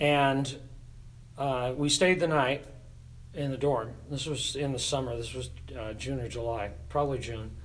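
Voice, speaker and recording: Speaking at a fairly slow pace with long, frequent pauses, a man with an American accent holds a medium pitch and fairly even intonation amid audible room echo. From US Pacific Northwest (Tacoma, Washington). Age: 70s. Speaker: church choir director. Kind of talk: casual interview.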